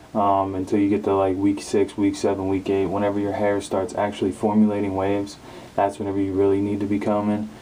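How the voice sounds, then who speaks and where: Talking at a fairly quick pace, a man uses a fairly low-pitched voice. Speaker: hair care youtuber. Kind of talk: tutorial. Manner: hesitant, many fillers.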